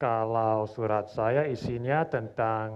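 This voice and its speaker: A man with an English accent, fairly low in pitch, very slow in pace, with fairly even intonation. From Australia. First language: English (speaking Indonesian). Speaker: language learner, competition participant. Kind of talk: self-introduction; reading aloud a letter. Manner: formal.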